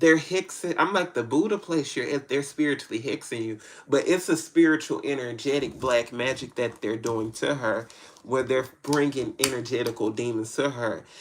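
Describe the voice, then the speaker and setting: Here a man with an American accent talks at a medium pitch, his pitch varying in an ordinary way. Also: moderate pace. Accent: country twang. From Tennessee, US South. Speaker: spiritual tarot reader. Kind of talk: live-stream reading answering viewer questions. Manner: casual, halting with false starts.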